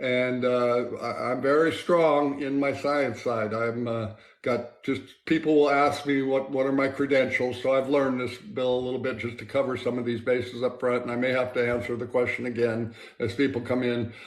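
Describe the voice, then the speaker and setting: A man speaks at a moderate pace in a medium pitch with flat, monotone intonation, and the room echo is audible. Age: 60s. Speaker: scientist. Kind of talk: interview. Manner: halting.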